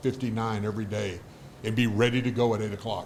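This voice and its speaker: A man's somewhat breathy, medium-pitched voice in a monotone, flat intonation at a fairly quick pace, with audible room echo. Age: 60s. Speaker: former pro football player, business executive. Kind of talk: casual interview chat.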